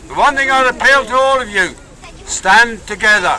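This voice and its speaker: With crowd noise behind him, a man with an Irish accent uses a raised, projected voice at an extremely high pitch, his lively intonation unfolding at a fairly slow pace. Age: 60s. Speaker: protest speaker. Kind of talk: rally speech. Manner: impassioned.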